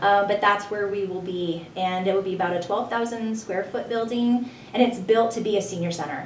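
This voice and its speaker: Amid noticeable background noise and audible room echo, a woman of medium pitch talks at a fairly quick pace with fairly even intonation and hardly any pauses. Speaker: senior center marketing director. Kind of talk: radio interview.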